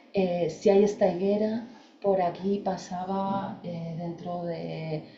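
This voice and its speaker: Here a woman speaks with an eastern Spanish accent at a fairly low pitch. Her intonation stays fairly even, and audible room echo surrounds her. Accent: Spanish (peninsular, eastern Spain). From Spain. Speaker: landscape architect and researcher. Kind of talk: lecture. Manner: hesitant, with fillers.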